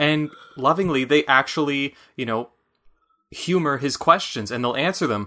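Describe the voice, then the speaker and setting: A bright, sharp voice with a Michigan accent at a moderate pace, with long, frequent pauses against a quiet background. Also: man, fairly high pitch for a man, ordinary pitch variation. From Michigan, US. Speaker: podcast co-host. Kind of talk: casual chat about a video game.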